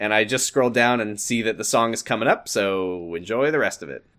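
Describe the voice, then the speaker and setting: A man with an ordinary speaking voice, a fairly quick pace and ordinary pitch variation. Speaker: podcast host. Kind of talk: casual comedic banter, riffing and reading fiction aloud. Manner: playful, joking.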